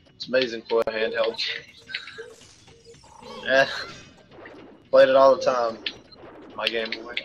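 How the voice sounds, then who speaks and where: A man talks at a moderate pace, leaving long, frequent pauses. His loudness swings a lot, and background noise is noticeable. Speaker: gaming video creator. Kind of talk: casual chat. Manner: halting, many fillers.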